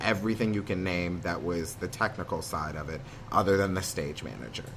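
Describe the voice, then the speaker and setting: With ordinary pitch variation and a fairly quick pace, a man talks in a space with audible room echo. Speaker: theatre student, actor. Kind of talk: interview conversation. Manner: loud, high energy; hesitant with many ums.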